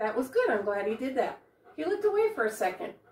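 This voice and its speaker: A woman speaks in a high voice. Audible room echo surrounds her words. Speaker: dog trainer. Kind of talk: tutorial. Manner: informal, friendly. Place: home room.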